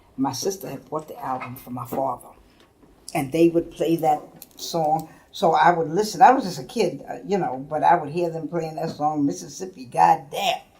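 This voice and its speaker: A woman speaks with a very deep, low pitch at a moderate pace. Her pitch variation is ordinary, with big swings in loudness. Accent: American. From New York, Harlem. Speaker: politician. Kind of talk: oral history interview. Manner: halting.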